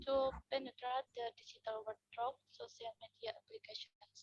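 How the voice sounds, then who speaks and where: A soft-spoken woman talks at a fairly slow pace in a dry, close sound with no echo. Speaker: summer course participant. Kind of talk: group presentation. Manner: halting. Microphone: too quiet.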